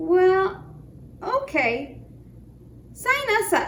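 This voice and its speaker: A woman uses a put-on character voice at an extremely high pitch with very wide pitch swings. Clear background noise sits behind her. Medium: read story. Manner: clucking.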